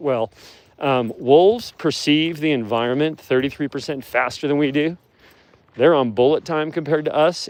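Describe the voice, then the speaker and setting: A normal speaking voice from a man, with ordinary pitch variation. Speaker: wolf handler. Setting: outdoors.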